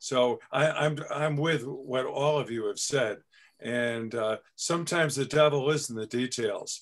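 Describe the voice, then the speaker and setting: A man talks somewhat unhurriedly, his pitch moving a normal amount, with little sound behind him. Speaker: board member. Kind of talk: committee meeting. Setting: video call. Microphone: video call.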